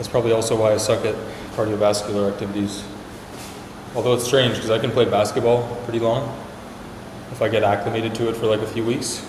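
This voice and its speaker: A man with a medium pitch talks very fast in a flat monotone, with long, frequent pauses. Noticeable background noise and audible room echo fill the recording. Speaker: startup vlogger. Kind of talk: casual vlog talk while working out.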